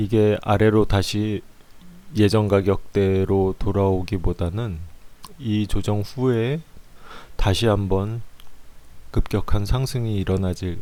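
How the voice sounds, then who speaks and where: In a dark, mellow tone, a man speaks at a very slow pace with fairly low pitch and fairly even intonation. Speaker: stock chart analyst. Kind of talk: market analysis commentary. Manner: halting, stumbling.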